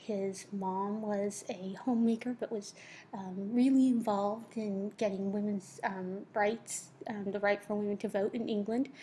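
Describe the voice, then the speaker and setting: At a fairly slow pace, a woman speaks in a dark, mellow, somewhat breathy tone at a medium pitch with monotone, flat intonation. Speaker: teacher. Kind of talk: lecture. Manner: careful articulation; hesitant, many fillers.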